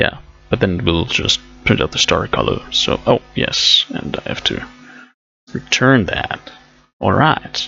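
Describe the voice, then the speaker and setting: With music in the background, a man with a non-native accent speaks at a fairly slow pace, with long, frequent pauses. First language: not English. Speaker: programming streamer. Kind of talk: live coding tutorial. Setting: live stream. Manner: casual, thinking aloud with fillers.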